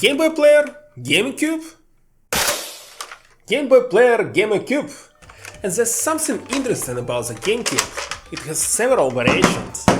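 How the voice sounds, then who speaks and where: Noticeable background noise sits behind a man's voice. He keeps a moderate pace but takes long, frequent pauses. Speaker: gaming YouTuber and streamer. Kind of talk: tutorial.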